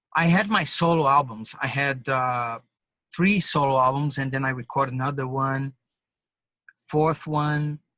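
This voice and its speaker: The voice has a bright, sharp tone and a Portuguese accent, moving at a fairly slow pace with long, frequent pauses and ordinary pitch variation. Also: man, fairly high pitch for a man. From Brazil. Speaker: drummer and musician. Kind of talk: interview. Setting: call, videotaped. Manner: halting, with false starts.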